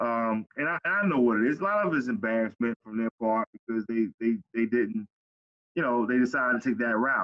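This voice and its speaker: This man has an American accent and a medium pitch. He speaks at a fairly quick pace with ordinary pitch variation. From US inner city. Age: 40s. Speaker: former pro football player, youth mentor. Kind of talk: interview. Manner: halting, with many fillers.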